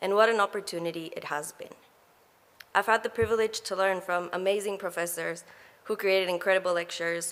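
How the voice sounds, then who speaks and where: Speaking at a fairly quick pace, a woman with an Ecuadorian accent uses a medium pitch and fairly even intonation. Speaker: graduate student speaker. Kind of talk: graduation speech. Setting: graduation ceremony hall.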